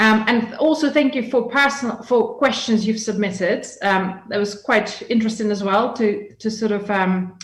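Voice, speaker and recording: A woman's somewhat breathy voice at fairly high pitch, with ordinary pitch variation, a moderate pace and audible room echo. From Russia, Yekaterinburg. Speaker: business expert and guest lecturer. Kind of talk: lecture.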